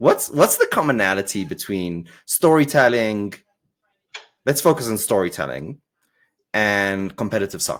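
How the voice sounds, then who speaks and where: Speaking with a South African accent, a man with a fairly low pitch makes very wide pitch swings at a moderate pace, leaving long, frequent pauses, on a very clean recording with a silent background. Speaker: podcast host. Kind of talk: interview conversation.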